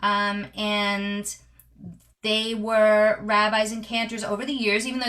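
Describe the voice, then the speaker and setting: At a fairly slow pace, a woman speaks in a fairly high voice with a bright, sharp tone. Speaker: cantor. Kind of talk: interview, personal life story. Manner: many filler words and hesitations.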